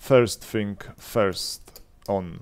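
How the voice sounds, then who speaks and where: A man speaks with a non-native accent on a very clean recording with a silent background. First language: not English. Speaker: gaming youtuber. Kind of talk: game commentary. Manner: halting, many fillers and restarts.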